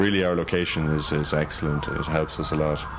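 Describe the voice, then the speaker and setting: A man with a slight Irish accent and a very deep, low pitch speaks at a moderate pace amid noticeable background noise. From Ireland, Dublin. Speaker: hotel manager. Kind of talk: interview. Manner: halting.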